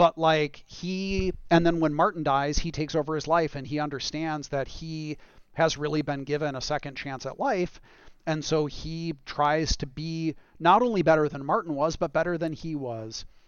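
With an ordinary speaking voice, a man talks at a moderate pace and a fairly high pitch with fairly even intonation. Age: 40s. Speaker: video game director. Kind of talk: casual chat.

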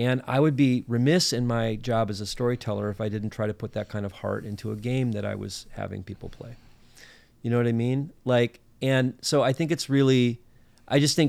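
On a very clean recording with a silent background, a man with an American accent talks at a very fast pace and a medium pitch, with ordinary pitch variation. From northern Minnesota. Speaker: podcast co-host, playwright and director. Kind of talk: casual chat.

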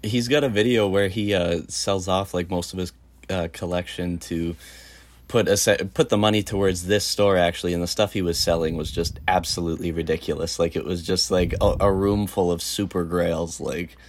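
The speaker has a Canadian accent and talks at a moderate pace. Pitch varies in an ordinary way. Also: man, very deep, low pitch for a man. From Medicine Hat, Alberta, Canada. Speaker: guest co-host, sneaker reseller. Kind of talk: casual chat.

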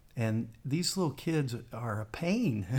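A man's normal speaking voice with an American accent, lively intonation, and a fairly slow pace. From West Virginia. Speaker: lead pastor. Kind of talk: podcast interview.

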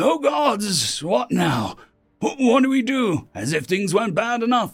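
A man's high, put-on character voice with vocal fry, a slightly husky edge, big pitch swings and a fairly slow pace

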